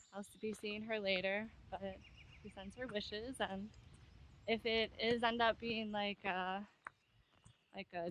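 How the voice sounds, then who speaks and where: A woman talks in a monotone, flat intonation, the sound dry with no echo and light background noise. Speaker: solo hiker vlogger. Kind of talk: casual vlog chat. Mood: relaxed, cheerful. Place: forest. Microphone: phone near.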